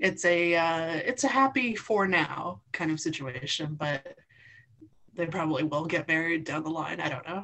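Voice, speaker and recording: Speaking at a moderate pace, a woman with a fairly low pitch uses lively intonation. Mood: cheerful, laughing. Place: home room. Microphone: video call.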